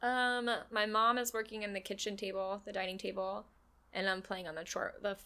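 A woman with a plain, everyday voice, medium pitch, fairly even intonation and an American accent, at a moderate pace. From Florida. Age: late 20s. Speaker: restaurant server. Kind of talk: casual chat. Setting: studio.

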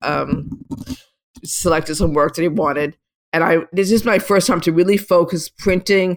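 A woman speaks at a moderate pace with a fairly low pitch and ordinary pitch variation. Hers is an unremarkable speaking voice. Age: 60s. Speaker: street photographer and retired art teacher. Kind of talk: interview. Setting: video call.

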